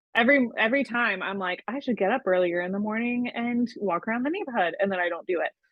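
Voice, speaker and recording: This woman talks at a very fast pace, her intonation lively. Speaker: freelance copywriter. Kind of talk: casual chat.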